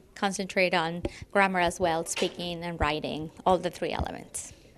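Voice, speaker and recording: The speaker is a woman with a Spanish accent. Her recording is very clean, the background silent. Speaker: middle school Spanish teacher. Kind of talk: interview. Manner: halting, with fillers.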